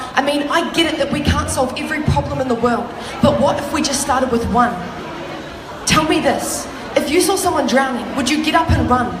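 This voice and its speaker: A woman's high-pitched, fairly quick voice against noticeable background noise. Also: ordinary pitch variation. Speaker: spoken word poet. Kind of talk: slam poetry performance. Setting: live conference stage.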